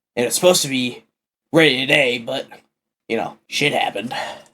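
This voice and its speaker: A man puts on a raspy character voice at a medium pitch, talking at a fairly quick pace with ordinary pitch variation. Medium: actual play.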